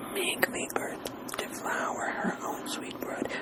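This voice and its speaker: Very slowly, a whispered voice comes through over noticeable background noise. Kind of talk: ASMR reading and discussion of poetry. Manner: casual, conversational.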